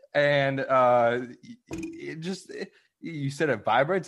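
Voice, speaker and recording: Here is a man with a normal speaking voice. His pitch sits fairly high and varies in an ordinary way. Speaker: podcaster guest.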